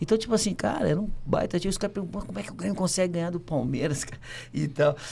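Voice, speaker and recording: A high-pitched man at a very fast pace with lively intonation. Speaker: former footballer. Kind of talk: casual chat. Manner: animated.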